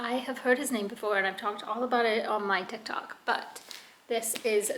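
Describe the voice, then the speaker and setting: Noticeable background noise sits behind a woman speaking at a moderate pace. Her pitch is fairly high, with ordinary pitch variation. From UK. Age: 20s. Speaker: vlogger, military spouse. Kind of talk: casual vlog.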